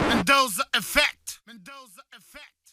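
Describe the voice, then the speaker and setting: This man talks at a very slow pace, his tone bright and sharp. The sound is dry and close, with no echo. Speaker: podcast host. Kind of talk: podcast episode intro. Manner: casual, enthusiastic.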